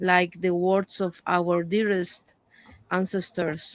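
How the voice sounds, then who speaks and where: Delivered at a very slow pace, the speech keeps a monotone, flat intonation. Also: woman, dry, close sound with no echo. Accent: Andean. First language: Quechua. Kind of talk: speech-like interview remarks. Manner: formal, ceremonial.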